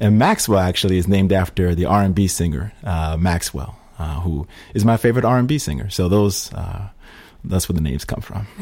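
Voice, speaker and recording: A man with an American accent speaks at a fairly quick pace in a very deep, low pitch. His pitch variation is ordinary, and noticeable background noise is present. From Schenectady, upstate New York. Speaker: congressional candidate. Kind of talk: interview. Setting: studio. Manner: hesitant, many fillers.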